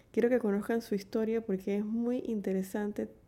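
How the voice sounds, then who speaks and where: Intonation is kept fairly even. A dark, mellow tone comes through. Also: woman. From Panama, Chiriquí. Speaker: poetry podcast host. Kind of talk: podcast intro and outro.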